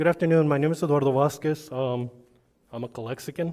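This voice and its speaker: A man speaks very fast in a dark, mellow tone, his intonation fairly even. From US Southwest, Calexico, California border town. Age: 50s. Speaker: public commenter, retired law enforcement officer. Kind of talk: public comment speech. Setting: school board meeting. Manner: conversational, repetitive filler 'okay'.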